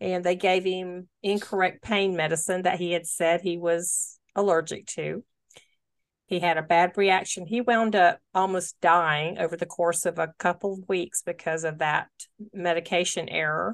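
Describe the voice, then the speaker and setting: A woman has a normal speaking voice, fairly low in pitch, with fairly even intonation. She speaks at a moderate pace against a quiet background. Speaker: podcast host. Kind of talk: interview. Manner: warm, empathetic.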